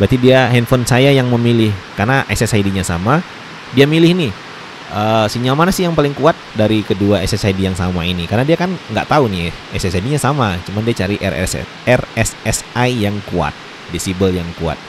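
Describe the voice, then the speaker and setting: Over noticeable background noise, a man speaks with lively intonation in a dry sound with no echo. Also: moderate pace. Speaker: tech tutorial youtuber. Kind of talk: tutorial. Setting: indoors during heavy rain. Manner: hesitant with frequent fillers. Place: home room.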